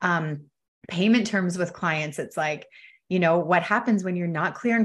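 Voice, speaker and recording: A woman with a Canadian accent talks at a fairly quick pace, somewhat breathy and lively in intonation, over a quiet background. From Canada, Ontario. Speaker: wealth coach. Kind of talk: casual interview chat.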